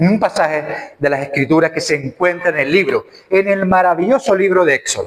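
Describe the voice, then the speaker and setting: A man's high voice at a moderate pace, with ordinary pitch variation. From Canary Islands. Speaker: preacher. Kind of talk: sermon. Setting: church.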